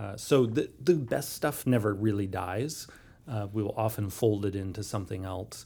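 Somewhat breathy, a man with a fairly low pitch speaks at a moderate pace with ordinary pitch variation. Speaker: game rules developer. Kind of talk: casual interview.

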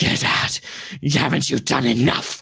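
A man puts on a raspy character voice. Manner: hostile, angry.

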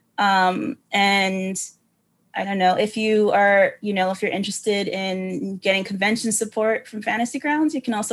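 A woman with an ordinary speaking voice talks at medium pitch with ordinary pitch variation against a quiet background. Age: 30s. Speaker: game master and show consultant. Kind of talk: casual interview.

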